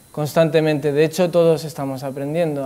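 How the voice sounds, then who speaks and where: A man speaks at a fairly high pitch with monotone, flat intonation. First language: not Spanish (Spanish is third language) (speaking Spanish). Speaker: Buddhist speaker. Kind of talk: talk to an audience. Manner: halting.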